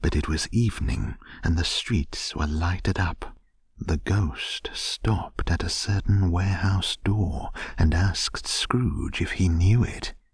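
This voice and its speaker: A man's very deep, low voice, somewhat breathy, at a very slow pace with ordinary pitch variation and very even loudness. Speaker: podcast narrator. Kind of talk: bedtime story reading, audiobook narration of a classic novel. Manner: gentle, soothing, slow and unhurried; calm, even, hushed storytelling pace.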